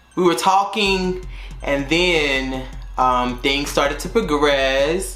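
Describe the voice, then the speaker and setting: Over music in the background and audible room echo, a man with an American accent speaks very slowly at a fairly high pitch, with ordinary pitch variation. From North Carolina, US South. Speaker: YouTuber and teacher. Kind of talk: casual storytime vlog. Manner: casual, filler-heavy.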